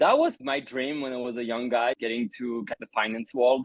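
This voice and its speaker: With a French accent, this man talks at a medium pitch. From France. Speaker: crypto entrepreneur. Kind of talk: interview.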